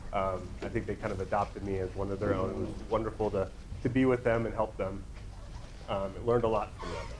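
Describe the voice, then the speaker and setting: Speaking very fast in a Midwestern American accent, a man keeps a fairly low pitch and a monotone, flat intonation. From Nebraska. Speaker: suicide prevention trainer. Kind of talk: workshop presentation. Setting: training room with audience.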